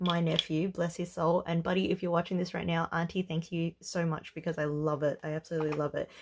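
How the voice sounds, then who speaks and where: Her voice fairly low, a woman speaks with an Australian accent. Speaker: budgeting vlogger. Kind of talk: casual vlog commentary. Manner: mellow, relaxed.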